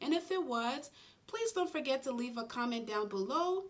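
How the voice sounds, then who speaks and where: Against noticeable background noise, a woman with a non-native accent and a high pitch speaks at a moderate pace, her voice swinging very widely in pitch. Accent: foreign-born, non-native English. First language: not English. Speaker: nurse and YouTuber. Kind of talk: advice vlog.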